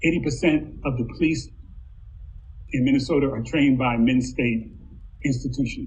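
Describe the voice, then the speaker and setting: A man with a fairly high pitch and vocal fry at a moderate pace, with audible room echo. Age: 60s. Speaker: university diversity administrator. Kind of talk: panel discussion.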